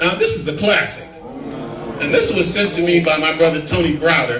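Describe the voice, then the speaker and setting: With an American accent, a man speaks at a fairly high pitch and moderate pace, with noticeable background noise and audible room echo. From Los Angeles, US. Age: 60s. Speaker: historian and lecturer. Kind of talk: lecture.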